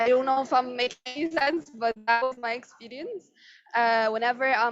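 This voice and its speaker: A woman with a non-native accent talks at a high pitch. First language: not English. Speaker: tech industry panelist. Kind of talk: panel discussion. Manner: halting, many fillers.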